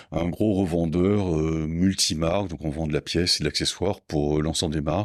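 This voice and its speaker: A man talks at a fairly quick pace with a very deep, low pitch and ordinary pitch variation. The sound is dry and close with no echo, on a very clean recording with a silent background. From south-west France, Landes. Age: 60s. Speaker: motorcycle parts business owner. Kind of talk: podcast interview. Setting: in company premises. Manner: calm and understated; halting, many hesitations.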